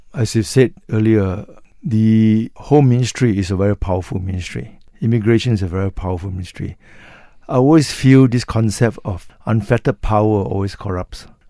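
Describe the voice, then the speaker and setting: Fairly low in pitch, a man talks at a fairly quick pace in a dark, mellow tone with ordinary pitch variation. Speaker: political analyst and newspaper columnist. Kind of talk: radio panel discussion. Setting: radio studio.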